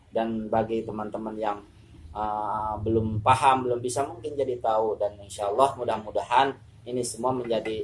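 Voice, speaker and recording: A man with a medium pitch speaks at a moderate pace against noticeable background noise. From West Java, Sundanese. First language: Sundanese (speaking Indonesian). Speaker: Quran recitation teacher. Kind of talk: religious tutorial. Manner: halting.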